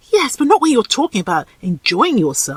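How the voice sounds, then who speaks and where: A female-sounding put-on character voice moves at a fairly quick pace, fairly high in pitch with very wide pitch swings. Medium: read story. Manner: playful, provocative.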